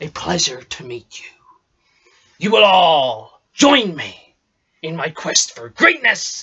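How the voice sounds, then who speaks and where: Using a put-on character voice, a man speaks in a high pitch. He goes at a fairly slow pace with long, frequent pauses. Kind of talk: improvised audition self-tape monologue. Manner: boisterous, theatrical.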